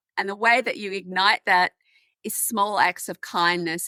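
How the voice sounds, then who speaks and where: An Australian woman with a bright, sharp tone and medium pitch speaks at a moderate pace, the sound dry and close with no echo. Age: 60s. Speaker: menopause advocate. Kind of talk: podcast interview.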